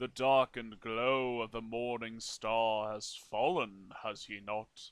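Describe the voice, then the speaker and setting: A put-on character voice from a man, medium in pitch and fairly slow in pace. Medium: read story.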